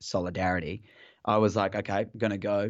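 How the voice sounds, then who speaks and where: A man with an Australian accent and a fairly low pitch. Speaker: football fan guest. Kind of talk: casual chat. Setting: phone call. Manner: halting.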